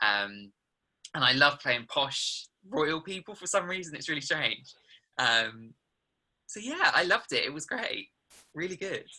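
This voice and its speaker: Fairly slow speech in a southern English accent, with long, frequent pauses, on a very clean recording with a silent background. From England, Suffolk. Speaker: musical theatre actor. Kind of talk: interview. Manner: hesitant, many ums.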